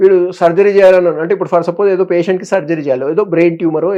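The man's voice is high in pitch, with a dark, mellow tone. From Hyderabad, Telangana, India. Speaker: neurosurgeon. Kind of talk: interview.

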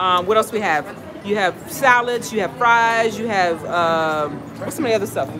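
A woman with an American accent talks at a moderate pace with lively intonation and hardly any pauses, against noticeable background noise. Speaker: travel vlogger. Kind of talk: casual chat. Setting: restaurant meet and greet, live. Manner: animated. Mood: warm, upbeat. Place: cafe. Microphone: phone near.

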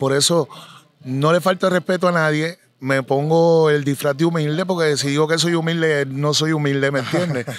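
A man with a fairly high pitch and an unremarkable speaking voice talks at a moderate pace, with very even loudness, fairly even intonation and a dry sound with no echo. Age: 40s. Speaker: reggaeton artist; interviewee. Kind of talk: interview. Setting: live event venue. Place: open country. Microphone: handheld.

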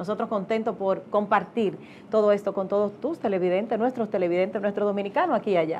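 The woman talks at a very fast pace with fairly even intonation. Light background noise can be heard. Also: medium pitch for a woman. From Dominican Republic. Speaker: TV co-host; co-host or guest. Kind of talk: interview. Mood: warm, pleased. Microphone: lapel.

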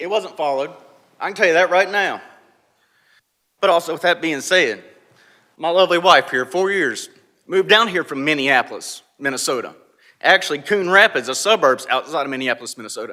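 A man with a North Carolina accent speaks at a fairly quick pace in a high pitch, with ordinary pitch variation and a bright, sharp tone. He leaves long, frequent pauses, and the recording is very clean with a silent background. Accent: Southern US (North Carolina). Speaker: local resident speaking at public hearing. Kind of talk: public comment. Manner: emotional, impassioned.

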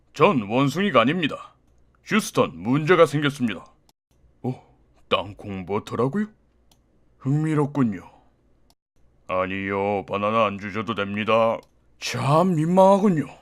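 A man speaks in a put-on character voice at medium pitch. His pace is moderate, broken by long, frequent pauses. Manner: polite.

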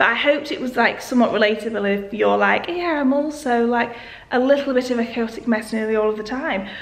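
A woman talks at a fairly quick pace and a fairly high pitch. Faint background noise sits behind her.

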